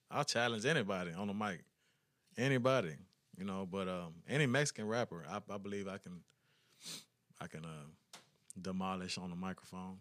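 At a fairly quick pace, a man talks with an American accent and ordinary pitch variation. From Texas (Brownsville, Huntsville). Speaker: rapper. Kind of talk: casual interview.

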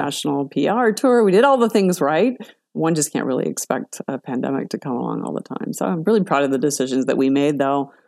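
A woman speaks very fast in a very deep, low voice with vocal fry. Her pitch swings very widely. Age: 50s. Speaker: startup founder and CEO. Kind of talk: interview.

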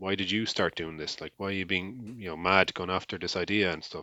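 The speaker has an Irish accent and ordinary pitch variation. The pace is very fast. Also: man. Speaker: podcast co-host. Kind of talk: casual chat.

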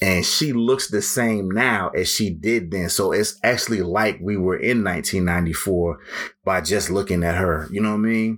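This man has a plain, everyday voice, fairly low in pitch, with ordinary pitch variation. He keeps a moderate pace and very even loudness. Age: 40s. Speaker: podcast host. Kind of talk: casual solo monologue. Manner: relaxed, filler-heavy.

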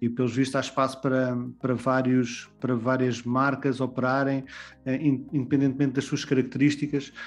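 Speaking fairly quickly, a man keeps a medium pitch in a monotone, flat intonation. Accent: European Portuguese. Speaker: podcast co-host. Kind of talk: podcast interview.

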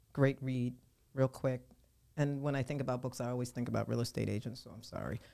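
With an American accent, a woman speaks very fast in a very deep, low voice with a dark, mellow tone, monotone, flat intonation, and big swings in loudness. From Philadelphia, US Northeast. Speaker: real estate agent and author. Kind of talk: interview.

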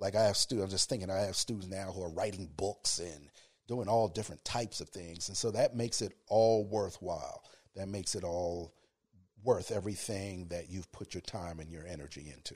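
A man speaks at a low pitch and a moderate pace, with ordinary pitch variation. His tone is slightly mellow, with a slightly husky edge.

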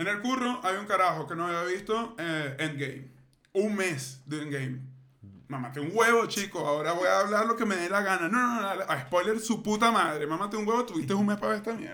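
Through noticeable background noise, a man projects a raised, high-pitched voice at a fairly quick pace with lively intonation. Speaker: podcast co-host. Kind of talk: casual chat.

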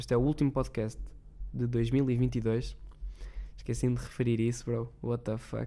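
A man with a dark, mellow tone talks at a fairly slow pace, pausing long and often. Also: medium pitch for a man. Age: young. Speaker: podcast host. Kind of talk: casual monologue. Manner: animated.

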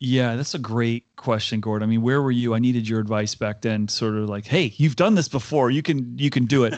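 Here is a man with an unremarkable speaking voice and an American accent, pitched medium. He talks at a fairly quick pace with hardly any pauses. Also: ordinary pitch variation. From US Northeast, Connecticut. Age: 50s. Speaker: HR executive and keynote speaker. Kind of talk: interview conversation.

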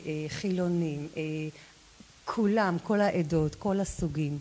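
Very slow, fairly low-pitched woman's voice with a dark, mellow tone and ordinary pitch variation. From Israel, Lod. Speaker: real estate agent. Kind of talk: interview. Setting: live stream.

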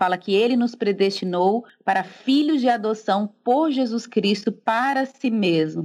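At a fairly slow pace and with hardly any pauses, a woman with an unremarkable speaking voice talks at a medium pitch, showing ordinary pitch variation and very even loudness. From Brazil, Recife (Pernambuco). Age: 30s. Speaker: theologian and church history teacher. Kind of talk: casual interview.

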